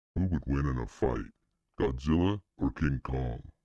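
A man performs a put-on character voice at a very deep, low pitch. He keeps a moderate pace.

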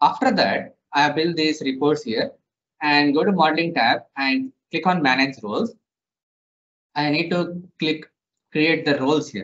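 A man talks at a fairly slow pace, leaving long, frequent pauses. Behind him the background is quiet. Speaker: software trainer. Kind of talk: tutorial.

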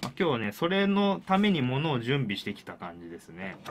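Very wide pitch swings run through the voice over light background noise. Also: man. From Japan, Kawasaki (Kanagawa). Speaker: pro wrestling referee and show host. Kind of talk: solo free talk. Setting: studio. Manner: many filler words, rambling. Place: studio. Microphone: studio mic.

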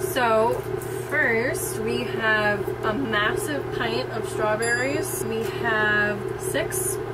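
Loud background noise runs underneath a woman's speech. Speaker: vlogger. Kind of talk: casual vlog chat. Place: boat. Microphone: camera far.

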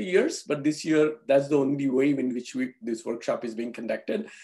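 A man speaks at a moderate pace. The background is quiet. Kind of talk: opening remarks. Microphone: video call.

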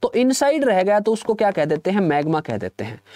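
At a moderate pace, a man with a high voice makes very wide pitch swings, recorded dry with no echo against a quiet background. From Haryana. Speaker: exam coaching teacher. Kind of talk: online live lecture. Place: studio. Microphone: lapel.

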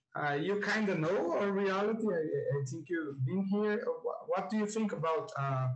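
In a quiet background, a man speaks in a Portuguese accent with ordinary pitch variation. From Brazil. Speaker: event moderator. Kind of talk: moderated Q&A. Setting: video call. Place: home room. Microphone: earbuds.

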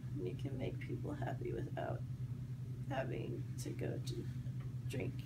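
Loud background noise runs under a woman talking at a moderate pace. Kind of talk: casual heartfelt message to camera. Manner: slow, slurred, drowsy medicated speech. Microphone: phone near.

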